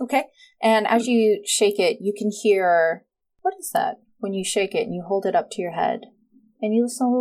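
Pitch varies in an ordinary way through an unforced reading voice, with a quiet background behind it.

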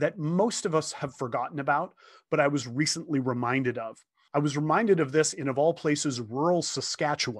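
A man speaks at a fairly quick pace in a plain, everyday voice with a Canadian accent. His pitch is fairly high, with ordinary variation. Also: quiet background. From Ontario, Canada (St. Thomas). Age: 50s. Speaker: motivational speaker. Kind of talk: casual chat.

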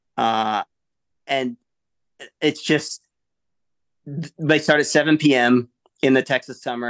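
Over a quiet background with a dry, close sound and no echo, a man with a Midwestern US accent speaks with fairly even intonation and long, frequent pauses. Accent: General American, Midwestern. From Michigan. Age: 40s. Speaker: Air Force veteran and ultra-endurance athlete. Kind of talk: casual interview.

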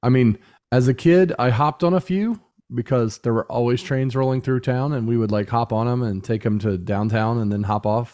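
A man's medium-pitched, dark, mellow voice with a Midwestern American accent, ordinary pitch variation and a fairly quick pace over a quiet background. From Indiana, US Midwest (Muncie). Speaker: podcast co-host, musician and software engineer. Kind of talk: casual chat.

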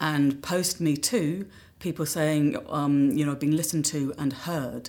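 On a very clean recording with a silent background, a woman speaks with very deep, low pitch in a monotone, flat intonation at a moderate pace. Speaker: intimacy coordinator. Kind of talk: panel discussion. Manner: halting.

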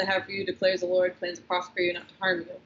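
A woman speaks at a medium pitch while clear background noise is audible. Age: 20s. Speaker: CrossFit athlete and former nurse. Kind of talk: casual chat. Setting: gym.

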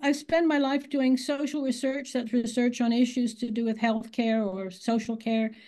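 Against a quiet background, a woman with an American accent speaks at a moderate pace, somewhat breathy and with fairly even intonation. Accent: American accent, long resident in England. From United States. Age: 80s+. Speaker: author. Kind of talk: interview.

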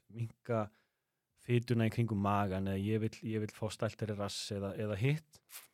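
A plain, everyday voice from a man, fairly low in pitch, with fairly even intonation and a dry, close sound with no echo. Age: 40s. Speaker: podcast host. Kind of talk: casual chat.

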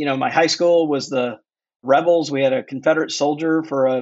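A man talks in a normal speaking voice at a fairly high pitch. His pace is fairly quick and his intonation fairly even. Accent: American. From US South, Mississippi. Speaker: author. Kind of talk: interview.

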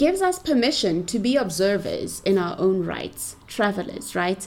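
A woman keeps a moderate pace while her pitch rises and falls very widely. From South Africa, Pretoria. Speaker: podcast host. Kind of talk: scripted narration.

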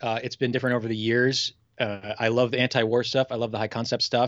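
A man with an American accent and a normal speaking voice talks at a fairly quick pace in a medium pitch. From Milwaukee, Wisconsin, US Midwest. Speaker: pun competition champion. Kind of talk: casual chat.

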